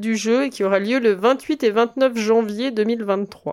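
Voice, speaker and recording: A woman speaks very slowly in a fairly high voice with ordinary pitch variation. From Burgundy, France. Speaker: podcast co-host. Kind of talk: casual chat.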